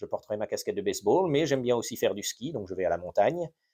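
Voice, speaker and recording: A man with an English accent speaks in a dark, mellow tone. The recording is very clean, with a silent background. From France (Normandy) and US, bilingual. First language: English (speaking French). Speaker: history YouTuber. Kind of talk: unscripted Q&A monologue. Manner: halting, many fillers.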